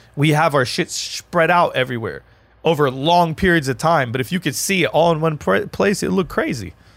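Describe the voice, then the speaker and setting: On a very clean recording with a silent background, a man with an American accent talks at a fairly quick pace in a fairly high pitch, with vocal fry and ordinary pitch variation. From Lebanon, after early childhood in US. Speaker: battle rapper. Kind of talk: casual chat. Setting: studio.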